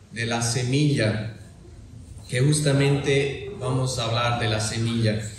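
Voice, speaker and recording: A man with a German accent and medium pitch, ordinary pitch variation, audible room echo and noticeable background noise. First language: German (speaking Spanish). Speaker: lay preacher. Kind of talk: sermon. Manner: halting.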